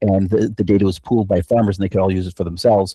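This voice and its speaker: The voice is somewhat breathy and very fast, with fairly even intonation. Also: man. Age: 50s. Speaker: professor. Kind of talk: casual chat.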